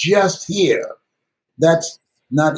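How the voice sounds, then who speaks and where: A somewhat breathy man's voice. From United States. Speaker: motivational speaker. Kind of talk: interview answer.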